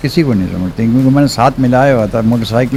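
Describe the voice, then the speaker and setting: A man talks at a medium pitch with fairly even intonation. Noticeable noise sits in the background. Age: 80s+. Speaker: motorcycle enthusiast. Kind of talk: interview answer.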